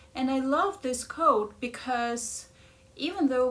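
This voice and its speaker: Very slowly, a woman speaks with a strong Ukrainian accent and lively intonation, with audible room echo. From Ukraine. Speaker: life coach. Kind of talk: casual chat.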